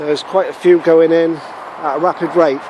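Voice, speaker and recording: With noticeable background noise, a man speaks at a high pitch in a monotone, flat way. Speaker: allotment gardener vlogger. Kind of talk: casual video walkthrough. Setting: outdoors on allotment.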